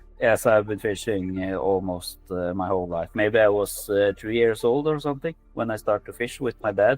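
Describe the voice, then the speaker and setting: With music in the background, a man speaks in a Norwegian accent with hardly any pauses. His pitch is fairly low, with ordinary variation. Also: moderate pace. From Norway. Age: 40s. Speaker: angler. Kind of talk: interview. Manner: halting, many fillers.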